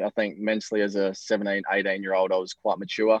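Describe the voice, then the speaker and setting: Speaking in an Australian accent, a man with a fairly low pitch talks at a fairly quick pace in a dry, close sound with no echo. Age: 20s. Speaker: professional tennis player. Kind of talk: interview.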